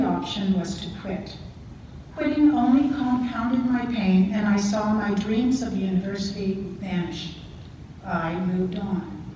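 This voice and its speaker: In a Canadian accent, a woman speaks at a fairly slow pace and medium pitch with ordinary pitch variation, amid audible room echo and noticeable background noise. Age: 60s. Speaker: adult learner. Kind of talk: prepared speech. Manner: formal.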